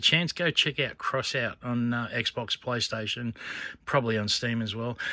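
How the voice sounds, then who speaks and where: On a very clean recording with a silent background, a man with an Australian accent and a bright, sharp tone speaks at a fairly quick pace. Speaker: coin and scrap collector vlogger. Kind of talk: casual vlog chat. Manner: rambling, animated.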